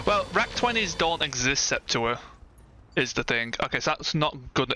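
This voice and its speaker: A man talks at a moderate pace as music plays underneath. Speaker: gaming streamer. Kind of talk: live gameplay commentary. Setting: live stream. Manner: casual, hesitant with fillers.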